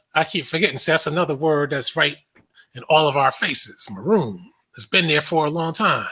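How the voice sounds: In a bright, sharp tone, a man talks at a fairly quick pace.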